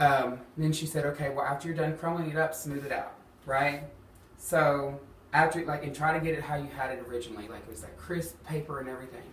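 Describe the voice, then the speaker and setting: Talking at a very fast pace with an Alabama accent, a man uses a fairly high pitch and fairly even intonation, with big swings in loudness, audible room echo and noticeable background noise. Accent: Southern US (Alabama). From US South, Huntsville, Alabama. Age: 20s. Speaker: drag performer sharing bullying story. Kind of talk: personal testimony interview. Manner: casual, many fillers (um, like).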